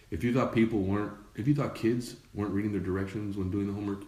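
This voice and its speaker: A man at a fairly quick pace, ordinary pitch variation, audible room echo and noticeable background noise. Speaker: dad blogger and show host. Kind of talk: casual live-stream commentary. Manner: lowered voice at one point.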